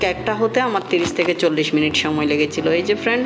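Music plays in the background as a woman speaks with a fairly low pitch and ordinary pitch variation. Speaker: home cooking vlogger. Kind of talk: tutorial. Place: kitchen.

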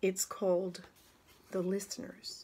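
A woman does the talking here. Her pace is fairly slow. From Canada. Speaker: actress and drama teacher. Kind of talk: casual talk to camera. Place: home room. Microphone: phone near.

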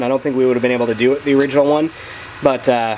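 Light background noise sits under a man's talking. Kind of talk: tutorial. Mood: relaxed, explanatory. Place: garage. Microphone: phone near.

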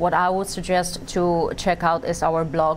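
Against light background noise, a woman speaks slowly-ish in a fairly low pitch, her intonation monotone and flat. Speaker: relationship coach. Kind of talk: interview. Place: studio. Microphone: lapel.

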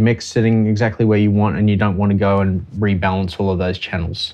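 A normal speaking voice, its intonation fairly even. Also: man. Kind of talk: tutorial. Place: studio.

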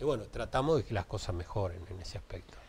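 Somewhat breathy, a man's voice moves through very wide pitch swings. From Uruguay. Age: 60s. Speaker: municipal traffic director; interviewee. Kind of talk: TV interview. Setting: TV studio. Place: studio. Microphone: lapel.

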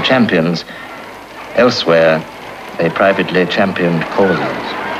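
Over noticeable background noise, a man with a British accent speaks at a moderate pace. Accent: British received pronunciation. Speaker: documentary narrator. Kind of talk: 1930s newsreel-style scripted narration. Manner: formal, measured, wryly archaic newsreel delivery.

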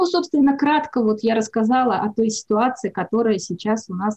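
A woman speaks at a moderate pace with a fairly high pitch, a dark, mellow tone and a somewhat breathy quality. Her pitch varies in an ordinary way, and the background is quiet. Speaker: labour ministry research director. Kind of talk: presentation. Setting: video call. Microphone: video call.

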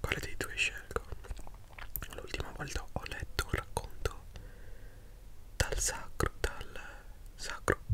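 Whispering in an intense tone, a man speaks at a very slow pace over light background noise. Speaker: book reader, commentator. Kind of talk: soft reading and commentary, ASMR-like. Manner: intense close-mic ASMR whisper. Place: home room. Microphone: studio mic.

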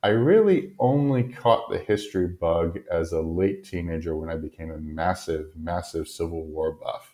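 A man's very deep, low voice, somewhat breathy, at a moderate pace with hardly any pauses. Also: ordinary pitch variation. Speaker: podcast host. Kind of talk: solo lecture monologue. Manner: frequent filler hesitations.

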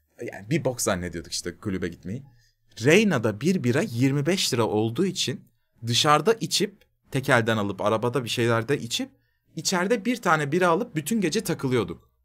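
Pitch swings very widely in this fairly quick delivery, which has vocal fry. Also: man. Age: 30s. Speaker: streamer. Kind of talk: casual chat. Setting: live stream. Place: home room.

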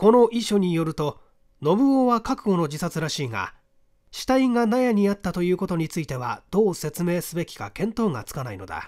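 Over a very clean recording with a silent background, a man talks at a fairly quick pace in a high pitch, his slightly mellow tone marked by big pitch swings.

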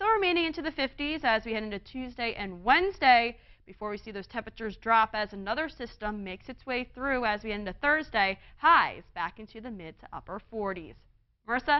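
Upbeat and fairly high in pitch, a woman speaks at a fairly quick pace with lively intonation and big swings in loudness. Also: quiet background. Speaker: TV meteorologist. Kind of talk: TV weather forecast, broadcast report with a co-anchor exchange. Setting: TV studio. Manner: upbeat, clear, polished broadcast delivery; steady, brisk, explanatory pace walking through maps and temperatures. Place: studio. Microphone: lapel.

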